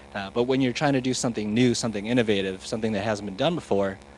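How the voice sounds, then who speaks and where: A soft-spoken man talks at a fairly low pitch. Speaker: scientist giving keynote. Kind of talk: keynote talk. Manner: hesitant, many fillers.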